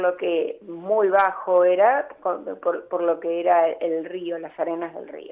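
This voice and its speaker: Her loudness swings widely as this woman speaks at a very slow pace. She leaves hardly any pauses. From Buenos Aires, Argentina. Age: 60s. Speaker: architect and urban planner. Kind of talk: radio interview.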